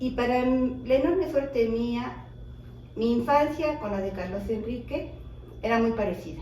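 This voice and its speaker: Over noticeable background noise and audible room echo, a woman talks fairly slowly at a fairly high pitch with ordinary pitch variation. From Mexico City. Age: 60s. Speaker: widow of a filmmaker, interviewee. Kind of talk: interview.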